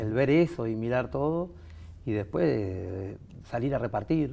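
Lively intonation marks this man's speech, which carries a dark, mellow tone. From Uruguay, Montevideo; Uruguay. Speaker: veterinary technician, baker and animal trainer; interview guest. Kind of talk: interview. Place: studio.

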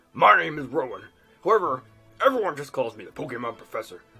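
Faint music plays behind a man doing a put-on character voice at a fairly high pitch and a very fast pace. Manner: formal, welcoming.

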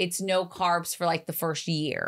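A woman speaks at a very slow pace. The background is quiet. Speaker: podcast co-host. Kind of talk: casual chat. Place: studio. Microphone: studio mic.

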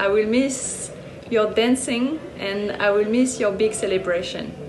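A woman with a French accent and a fairly high pitch speaks at a fairly slow pace over noticeable background noise. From France. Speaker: professional squash player. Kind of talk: tribute interview. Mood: warm, fond. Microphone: phone near.

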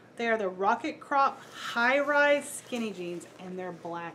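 Lively in intonation, a woman talks at a fairly slow pace against light background noise. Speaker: reseller showing a thrift haul. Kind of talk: casual vlog chat. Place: home room.

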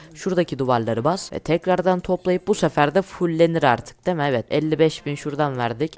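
Fairly high male voice at a fairly quick pace, ordinary pitch variation, dry, close sound with no echo, and a very clean recording with a silent background. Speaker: gaming YouTuber. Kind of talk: gameplay commentary.

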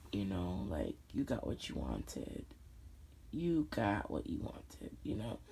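Very deep and low in pitch, a woman speaks fairly slowly with vocal fry and very wide pitch swings. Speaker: video blogger. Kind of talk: angry rant. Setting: lying in bed at night, audio only. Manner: vented, emotional, repetitive.

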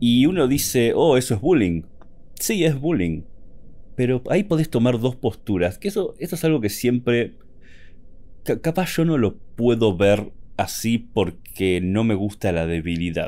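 A man speaks with a dark, mellow tone. His medium pitch moves in very wide swings. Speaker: gaming and lore content creator. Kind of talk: personal monologue podcast. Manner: effortful, stuttering when excited.

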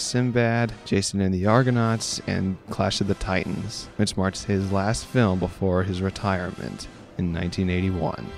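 Music in the background behind a man's fairly low pitch, ordinary pitch variation and moderate pace. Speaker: student. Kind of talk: documentary narration.

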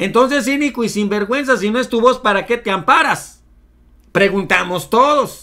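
In a Mexican accent, a man uses a raised, projected voice at an extremely high pitch, with a bright, sharp, animated tone and ordinary pitch variation over a quiet background. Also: moderate pace. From Mexico. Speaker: political commentary YouTuber. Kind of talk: news commentary. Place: home room.

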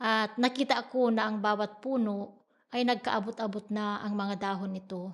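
The woman's voice is pitched fairly high and stays monotone and flat. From Philippines, Iba, Zambales. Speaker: farmer and church treasurer. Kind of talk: testimony.

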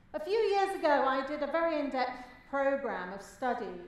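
A woman speaks with a high pitch. Room echo is audible. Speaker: speaker. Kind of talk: keynote speech. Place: hall. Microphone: headset.

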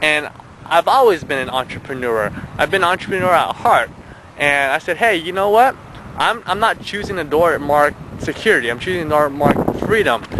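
A man at a fairly high pitch with lively intonation and a moderate pace, in a dry sound with no echo amid noticeable background noise. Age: 20s. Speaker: entrepreneur vlogger. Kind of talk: personal story vlog. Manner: hesitant, many fillers. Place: open country. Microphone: phone near.

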